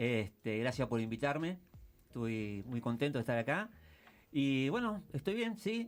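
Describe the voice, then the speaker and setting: This man's pitch is medium, yet it swings very widely. He speaks at a fairly slow pace with very even loudness. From Argentina, Mar del Plata. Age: 60s. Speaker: war veteran. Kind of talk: interview. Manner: hesitant, many fillers.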